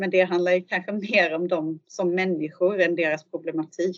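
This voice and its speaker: A woman's fairly low voice in a flat monotone. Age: 40s. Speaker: social worker and football coach. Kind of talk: interview. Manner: halting.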